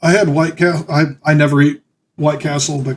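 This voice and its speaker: Fairly high in pitch, a man's voice comes across as somewhat breathy. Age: 30s. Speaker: gaming streamer. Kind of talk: casual live stream commentary. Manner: halting, many fillers.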